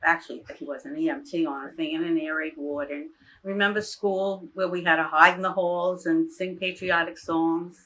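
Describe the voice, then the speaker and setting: At a moderate pace, a woman with a New York accent talks in a bright, sharp tone at a fairly low pitch with ordinary pitch variation, on a very clean recording with a silent background. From New York City area, Far Rockaway, Queens. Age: 80s+. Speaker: retired teacher. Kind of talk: oral history interview.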